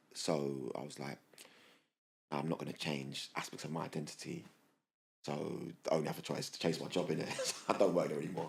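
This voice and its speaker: Pausing long and often, a man with a very deep, low pitch and vocal fry otherwise moves at a fairly quick pace. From London, England. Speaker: diversity and inclusion professional. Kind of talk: interview storytelling. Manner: animated.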